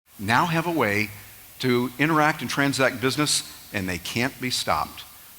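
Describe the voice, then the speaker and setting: Lively intonation from a man at medium pitch and moderate pace, over noticeable background noise. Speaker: event host introducing speaker. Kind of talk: stage introduction.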